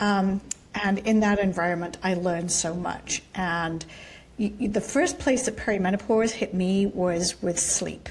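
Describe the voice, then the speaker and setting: At a fairly slow pace, a woman with a plain, everyday voice speaks in a medium pitch with ordinary pitch variation. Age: 60s. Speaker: company co-founder. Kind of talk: casual chat.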